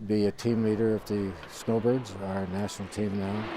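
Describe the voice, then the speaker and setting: With a Newfoundland accent, a man speaks in a flat monotone at a fairly low pitch, and audible room echo surrounds his voice. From Newfoundland, Canada. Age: 80s+. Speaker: retired military pilot. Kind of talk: interview. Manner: halting.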